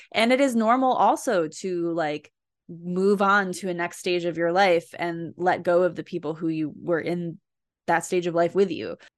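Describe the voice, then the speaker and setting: At a moderate pace, a woman with an American accent uses a normal speaking voice, fairly low in pitch with ordinary pitch variation, against a quiet background. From New Jersey. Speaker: podcast co-host. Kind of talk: casual chat.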